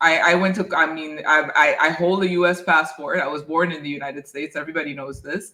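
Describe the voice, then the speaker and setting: A woman's very deep, low voice with a bright, sharp tone, very fast pace, fairly even intonation and big swings in loudness. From Haiti. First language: French. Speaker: dentist. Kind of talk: interview.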